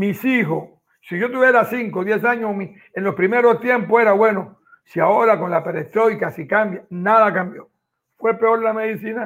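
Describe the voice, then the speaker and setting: This man has a high voice for a man and speaks at a moderate pace. His pitch varies in an ordinary way. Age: old. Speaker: agronomist, former entomologist. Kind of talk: casual panel discussion.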